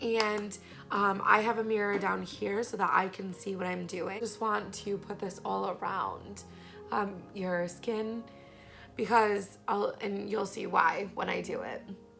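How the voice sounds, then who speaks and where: Against music in the background, a woman speaks at a fairly slow pace in a monotone, flat intonation. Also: medium pitch for a woman. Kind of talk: beauty tutorial talk to camera.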